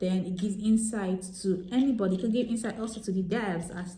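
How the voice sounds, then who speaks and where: Amid audible room echo, a woman speaks quickly with a somewhat breathy, dark, mellow tone at medium pitch and fairly even intonation. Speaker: software tester and vlogger. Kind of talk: tutorial. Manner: hesitant, many fillers.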